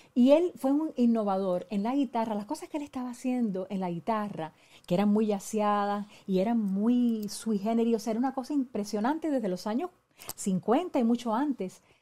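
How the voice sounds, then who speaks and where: The voice has a dark, mellow tone, is somewhat breathy, and moves at a moderate pace with lively intonation. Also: woman, fairly high pitch for a woman. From Puerto Rico. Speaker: radio host and musicologist; radio host. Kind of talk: interview. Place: studio.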